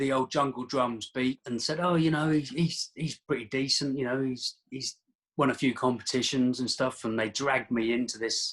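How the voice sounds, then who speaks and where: In a Norfolk accent, a man speaks at a medium pitch and a moderate pace. His intonation stays fairly even. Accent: Norfolk twang. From England, Daventry, Northamptonshire. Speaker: martial artist. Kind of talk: casual chat. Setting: call.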